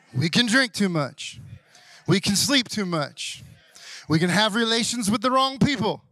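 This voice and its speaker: In a Southern US accent, the speaker goes at a fairly slow pace with long, frequent pauses. The intonation is lively and the tone bright and sharp. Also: man. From US South. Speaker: pastor. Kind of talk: Sunday morning church sermon, call-and-response with congregation. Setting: church service with congregation. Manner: conversational, asides and humor, coaxing amens from the crowd; building preacher cadence, rising intensity.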